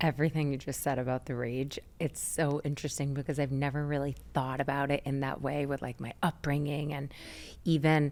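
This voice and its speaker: At a fairly quick pace, the speaker keeps a monotone, flat intonation in a very clean recording with a silent background. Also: woman, very deep, low pitch for a woman. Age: 40s. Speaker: wellness podcast host. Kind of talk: interview conversation.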